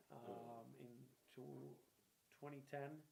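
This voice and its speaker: Speaking at a medium pitch, a man with a dark, mellow tone is heard with audible room echo. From Puerto Rico, then Boston from age eleven. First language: Spanish. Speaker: local politician, former mayor and army veteran. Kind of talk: interview.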